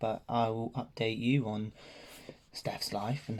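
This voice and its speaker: A man speaks quietly with fairly even intonation. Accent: English. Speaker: vlogger. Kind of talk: personal vlog update. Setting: at home. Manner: hesitant, many ums.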